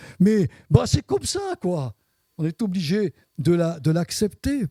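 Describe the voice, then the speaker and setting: In a high-pitched voice with a dark, mellow tone, a man speaks at a very slow pace. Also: dry, close sound with no echo. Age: 70s. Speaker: pastor. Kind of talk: sermon. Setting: church service with congregation. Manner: halting with repetitions.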